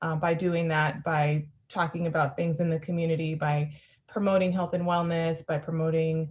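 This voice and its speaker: At a moderate pace, a woman talks with a fairly low, somewhat breathy voice and fairly even intonation. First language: Spanish. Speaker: former magazine founder and publisher. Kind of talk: interview. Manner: halting, many fillers.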